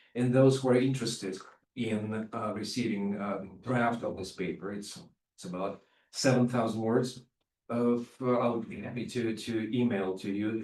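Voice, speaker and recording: A man talks with fairly even intonation while audible room echo hangs in the space. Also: medium pitch for a man, moderate pace. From Russia (Leningrad). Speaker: professor of psychology. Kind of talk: lecture. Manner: halting, many fillers.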